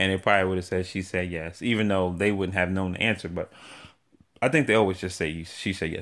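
A man with an American accent speaks at a very deep, low pitch in a monotone, flat delivery. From New York City. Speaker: podcast host. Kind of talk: casual chat.

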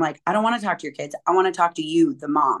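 The setting is quiet. A woman rattles off her words at a very fast pace. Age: 40s. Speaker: fitness coach and motivational speaker. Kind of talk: interview conversation.

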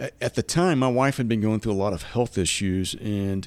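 This man speaks at a medium pitch with ordinary pitch variation. His pace is fairly quick. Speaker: author and military veteran. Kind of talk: interview.

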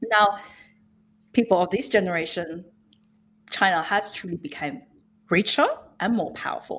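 Lively intonation marks a woman's medium-pitched voice. She keeps a moderate pace with long, frequent pauses. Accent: Australian. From Hunter Valley, Australia. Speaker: policy fellow on China. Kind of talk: interview. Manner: hesitant with fillers.

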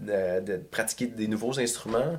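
A man speaks at a medium pitch. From Quebec, South Shore of Montreal (Saint-Bruno). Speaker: metal singer and songwriter. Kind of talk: casual interview chat.

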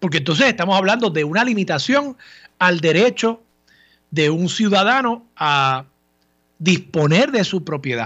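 A man's high-pitched voice with very wide swings in pitch, a fairly slow pace, and long, frequent pauses. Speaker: radio host, lawyer. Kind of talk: radio talk show commentary. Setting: radio studio.

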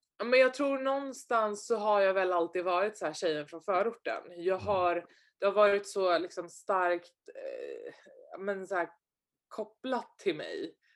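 In a normal speaking voice, a woman talks at a fairly slow pace with a medium pitch and ordinary pitch variation. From Sweden, Stockholm suburbs. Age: 20s. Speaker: entrepreneur and investor. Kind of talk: interview.

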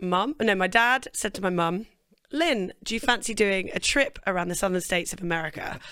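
This woman has a British accent. Her pitch varies in an ordinary way. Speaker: singer-songwriter. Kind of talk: casual interview chat. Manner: chatty, laughs.

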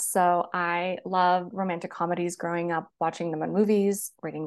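A woman's medium-pitched voice with fairly even intonation over a quiet background. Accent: West Coast US. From US Pacific Northwest, Seattle. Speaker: romance author. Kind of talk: casual interview.

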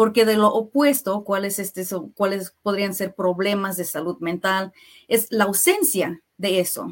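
Speaking fairly slowly, a woman uses an unremarkable speaking voice at a medium pitch with ordinary pitch variation. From US Midwest (Kansas City), Mexican family. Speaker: health plan worker, mental health trainer. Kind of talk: radio interview. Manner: frequent filler words.

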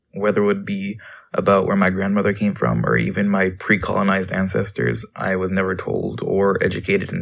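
A man talks fairly quickly with vocal fry. His pitch is fairly low, with ordinary variation. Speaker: youth. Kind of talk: testimony.

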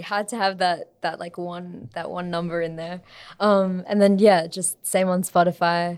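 In an Australian accent, a woman with a fairly low pitch talks at a fairly slow pace. Her intonation is monotone and flat, on a very clean recording with a silent background. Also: big swings in loudness. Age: 20s. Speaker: singer-songwriter and music student. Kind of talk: casual interview.

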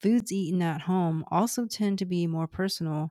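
A woman with a medium pitch speaks in fairly even intonation on a very clean recording with a silent background. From Houston, Texas. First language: Cantonese. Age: 30s. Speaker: podcast host, public health nutrition background. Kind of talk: scripted narration.

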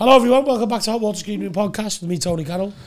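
A man puts on a character voice, hoarse and high-pitched. He speaks at a very fast pace.

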